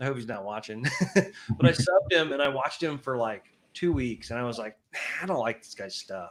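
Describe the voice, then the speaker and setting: Lively intonation runs through a man's speech. His pitch stays at a medium level. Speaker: motorcycle YouTuber guest. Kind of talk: casual chat. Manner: halting.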